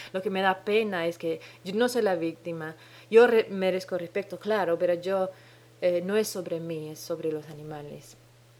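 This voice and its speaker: A woman's fairly low-pitched voice at a moderate pace. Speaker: podcast host. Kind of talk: solo podcast monologue. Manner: halting, many hesitations.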